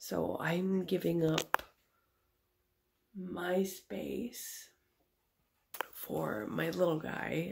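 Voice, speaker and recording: A woman speaks quietly. Her speech has long, frequent pauses. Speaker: nail artist vlogger. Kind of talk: casual vlog. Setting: home at night, family asleep. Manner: quiet, conserving voice.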